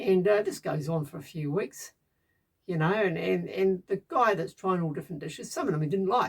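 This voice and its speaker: Woman at a moderate pace, medium pitch, ordinary pitch variation. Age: 60s. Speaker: DIY bunker builder vlogger. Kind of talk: casual monologue vlog. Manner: halting, many fillers and repetitions.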